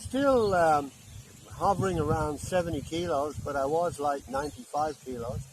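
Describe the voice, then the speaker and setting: A man with fairly high pitch and lively intonation at a moderate pace, with noticeable background noise. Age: 70s. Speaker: retired electrician vlogger. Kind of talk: casual chat. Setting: outdoors.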